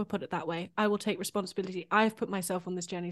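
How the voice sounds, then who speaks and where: A woman with a British accent speaks at a very fast pace in a medium pitch, her intonation flat and monotone. The background is quiet. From UK. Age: 30s. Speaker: composer. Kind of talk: casual chat.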